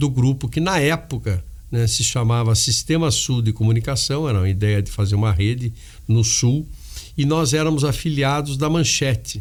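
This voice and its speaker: A man's voice at medium pitch, with ordinary pitch variation and a moderate pace. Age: 60s. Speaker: media company executive. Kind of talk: interview. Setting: studio. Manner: halting.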